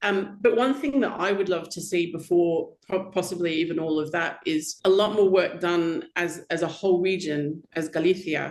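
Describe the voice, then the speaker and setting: With an Australian accent, a woman speaks at a fairly low pitch. Her moderate pace has hardly any pauses. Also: ordinary pitch variation. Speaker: wine critic. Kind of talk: casual chat.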